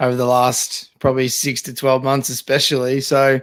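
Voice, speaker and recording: Speaking at a moderate pace with an Australian accent, a man's medium-pitched voice comes through a very clean recording with a silent background. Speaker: football podcast co-host. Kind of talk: casual chat.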